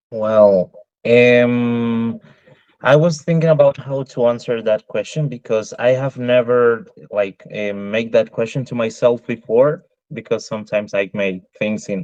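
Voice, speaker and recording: Spoken with a Spanish accent, the words come at a fairly slow pace. Pitch varies in an ordinary way, and the sound is dry and close with no echo. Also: man, medium pitch for a man. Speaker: interviewee. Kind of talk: interview. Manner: hesitant, many fillers.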